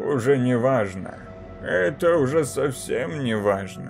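Clear music plays behind a man doing a shaky, put-on character voice. He keeps a medium pitch and a fairly slow pace. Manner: muttering.

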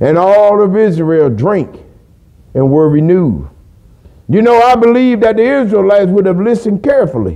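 Lively intonation at a moderate pace against a quiet background. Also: man. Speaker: preacher. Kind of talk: sermon. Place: church.

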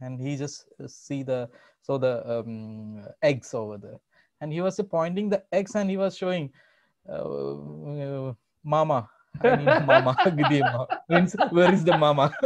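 Over a quiet background, a man with a Keralan accent speaks at a fairly slow pace in a fairly high pitch, with lively intonation. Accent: Indian English (Malayali). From Kerala, India. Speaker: salesman. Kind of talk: interview answer. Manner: hesitant, casual. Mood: amused storytelling. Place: home room. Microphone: video call.

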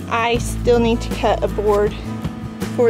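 With clear music in the background, a woman talks at a fairly slow pace. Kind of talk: casual tutorial vlog. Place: garden. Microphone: phone near.

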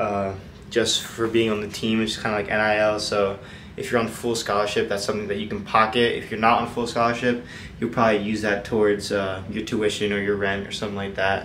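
Over light background noise, a man with a fairly low pitch speaks at a fairly quick pace in a monotone, flat intonation. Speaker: college athlete vlogger. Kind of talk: casual vlog chat answering questions. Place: home room. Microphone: phone near.

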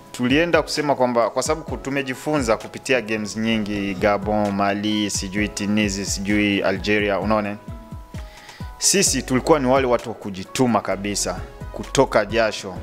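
Clear music plays in the background as a man speaks at a moderate pace with a fairly low pitch and ordinary pitch variation. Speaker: guest. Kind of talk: interview answer. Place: studio. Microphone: handheld.

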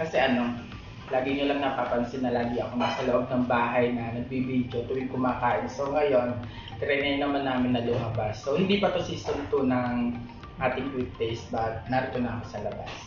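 The speech runs at a fairly quick pace with fairly even intonation. Faint music plays in the background, and the room echo is audible. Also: man. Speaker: food vlogger. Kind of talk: casual vlog chat. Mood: cheerful, playful. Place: cafe. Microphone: phone near.

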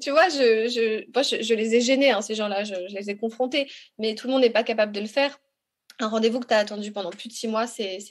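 A woman's fairly high voice, a normal speaking voice, with ordinary pitch variation and a fairly quick pace. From Congo. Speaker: patient advocate. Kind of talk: testimony.

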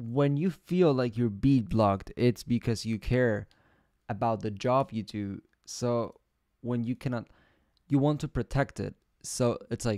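A man's dark, mellow voice at a fairly slow pace, with long, frequent pauses, ordinary pitch variation, a dry sound with no echo and a quiet background. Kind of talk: casual stream chat. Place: home room.

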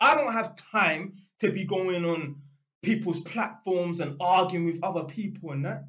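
Animated, high-pitched speech from a man, fairly slow in pace, with ordinary pitch variation. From London, England. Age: 30s. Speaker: YouTuber. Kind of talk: casual monologue rant. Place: home room. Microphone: webcam.

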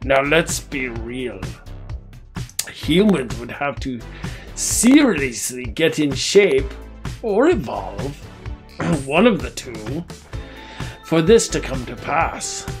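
Over clear music in the background, a put-on character voice speaks at a very slow pace. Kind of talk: comedic monologue to camera. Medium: role play. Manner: grandiose, pompous.

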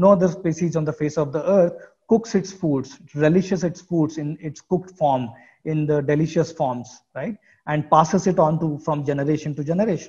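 A man with an Indian accent speaks at a moderate pace, his pitch fairly high with ordinary variation. His tone is dark and mellow. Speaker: professor. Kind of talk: lecture. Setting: video call.

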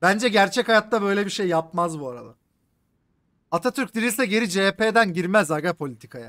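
Bright, sharp and animated, a man with a high pitch speaks at a moderate pace with lively intonation. The background is quiet. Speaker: gaming streamer. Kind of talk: live game stream commentary. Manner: animated, casual with heavy swearing.

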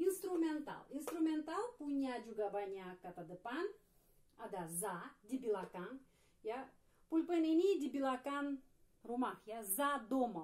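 Against a quiet background, a woman with a high pitch talks at a very slow pace with very wide pitch swings and long, frequent pauses. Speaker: Russian language teacher. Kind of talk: tutorial. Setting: video lesson. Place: home room. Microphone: camera far.

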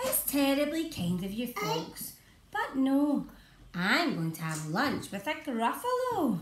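Using a put-on character voice, a woman speaks high-pitched at a fairly slow pace, with audible echo and light background noise. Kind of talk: bedtime story. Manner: bold, cheeky.

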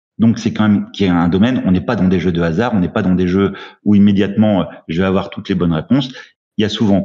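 A man talks at a very fast pace with ordinary pitch variation. His tone is dark and mellow. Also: quiet background. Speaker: award jury head explaining rules. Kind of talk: casual group discussion about board games. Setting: live stream, video call. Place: home room. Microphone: video call.

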